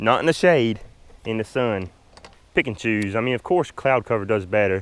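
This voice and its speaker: Speaking at a moderate pace with a Southern US accent, a man uses a medium pitch with ordinary pitch variation. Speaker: fishing vlogger. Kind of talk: casual chat while fishing, tutorial. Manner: hesitant, repeats words.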